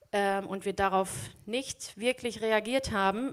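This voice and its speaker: In a normal speaking voice, a woman talks at a moderate pace, her pitch fairly high and her intonation fairly even. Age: 30s. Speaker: teacher and lay preacher. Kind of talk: sermon.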